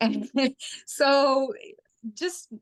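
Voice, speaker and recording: With a Ukrainian accent, a woman talks using ordinary pitch variation. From Ukraine. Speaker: sustainability advocate. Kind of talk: interview. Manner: halting, with fillers.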